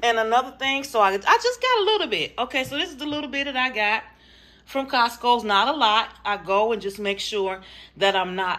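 A woman speaks at a high pitch with ordinary pitch variation. Her pace is fairly quick. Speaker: home vlogger. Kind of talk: casual vlog chat. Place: kitchen. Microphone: phone near.

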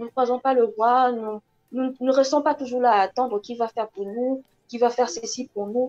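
A woman speaks at a moderate pace in a high voice with fairly even intonation. The background is quiet. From DR Congo. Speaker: actress. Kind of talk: interview. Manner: halting. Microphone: earbuds.

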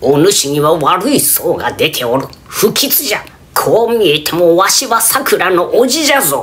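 Pitch swings very widely in this put-on character voice, which proceeds fairly slowly. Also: man, high pitch for a man.

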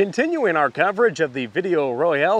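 A man speaks at a fairly quick pace in a dry recording with no echo. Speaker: agricultural news reporter. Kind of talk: farm radio news report. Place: open country. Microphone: lapel.

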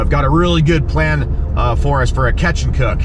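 A man speaks at a moderate pace in a dry sound with no echo, noticeable background noise underneath. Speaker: fishing vlogger. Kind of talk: casual vlog chat. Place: car. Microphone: phone near.

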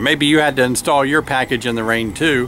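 A man's voice sounds dry, with no echo. Music plays in the background. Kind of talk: casual vlog chat. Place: open country. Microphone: phone near.

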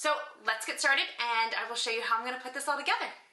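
A woman is speaking. Room echo can be heard. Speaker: home cook vlogger. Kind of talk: casual vlog chat. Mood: cheerful and upbeat. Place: kitchen. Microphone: phone near.

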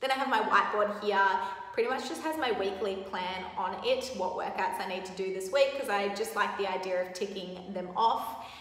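A woman speaks at a moderate pace with ordinary pitch variation, and there is audible room echo. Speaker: athlete vlogger. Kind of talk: casual vlog chat. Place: gym. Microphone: phone near.

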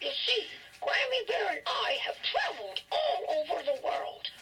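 With clear noise in the background, a speaker puts on a character voice and keeps a moderate pace. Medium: read story. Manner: warm, gentle.

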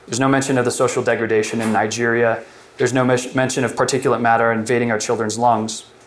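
Over light background noise, a man talks very fast in a flat monotone. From Colorado, US. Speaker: alternative energy entrepreneur; presenter. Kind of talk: workshop presentation; prepared talk. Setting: workshop room with audience. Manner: halting, many fillers. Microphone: lapel.

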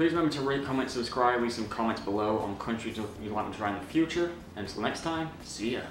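With hardly any pauses, a man speaks at a very fast pace amid audible room echo and light background noise. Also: ordinary pitch variation. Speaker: food review vlogger. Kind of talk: casual vlog chat. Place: home room.

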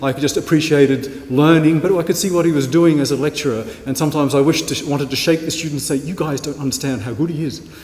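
A man's warm, fairly high voice at a very fast pace, with fairly even intonation, hardly any pauses and noticeable background noise. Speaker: university lecturer introducing speaker. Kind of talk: introductory speech. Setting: stage with audience. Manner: warm and jokey.

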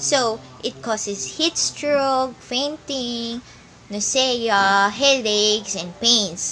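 A woman talks at a very slow pace with lively intonation. Light background noise is present. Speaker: presenter. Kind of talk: tutorial. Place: home room. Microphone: phone near.

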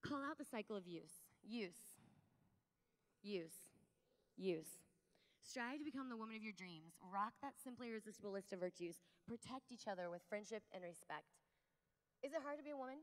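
With an American accent, the speaker has an animated, warm tone and lively intonation, moving at a fairly quick pace yet taking long, frequent pauses against a quiet background. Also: woman, fairly high pitch for a woman. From US Midwest. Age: 30s. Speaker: conference speaker. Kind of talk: fervent prayer; keynote talk to a women's conference. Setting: conference stage with large audience. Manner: animated, warm, upbeat; earnest, pleading, tender in prayer. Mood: warm, playful, earnest. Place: hall. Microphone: handheld.

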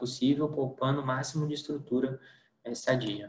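A man's flat, monotone delivery at a fairly quick pace, with audible room echo. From Brazil, interior of Minas Gerais. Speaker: radiation oncologist. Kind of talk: lecture. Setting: online lecture with slides. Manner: hesitant, with repetitions. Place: home room. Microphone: webcam.

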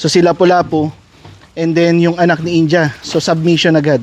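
A man's high voice at a fairly quick pace amid noticeable background noise. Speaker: dog breeder. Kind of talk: casual vlog narration while handling dogs. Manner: commands to dogs, short bursts.

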